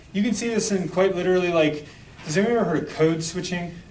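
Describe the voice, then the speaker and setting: Over noticeable background noise and audible room echo, a man with an American accent talks at a very fast pace in a high pitch. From rural Michigan. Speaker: sociology professor. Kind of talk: lecture. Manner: conversational, many fillers.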